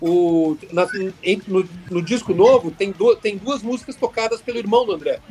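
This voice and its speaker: Noticeable background noise fills the clip. A man speaks in a high pitch. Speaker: rock guitarist. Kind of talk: podcast interview.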